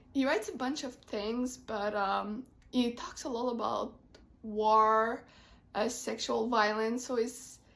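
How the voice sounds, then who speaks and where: Speaking at a very slow pace, a woman with a Quebec accent holds a fairly high pitch and fairly even intonation. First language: French. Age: 20s. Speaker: book vlogger, literature student. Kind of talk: casual vlog talk. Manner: hesitant, many fillers.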